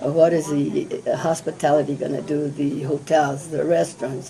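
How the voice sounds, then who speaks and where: With music in the background, a woman with a very deep, low pitch talks at a fairly quick pace with fairly even intonation. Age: 70s. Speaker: state senator. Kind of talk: candidate interview.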